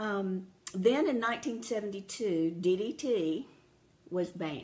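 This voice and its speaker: Lively intonation in a somewhat breathy voice. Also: woman, medium pitch for a woman, fairly slow pace. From rural America, farming area. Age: 60s. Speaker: health talk speaker. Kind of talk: personal talk to an audience.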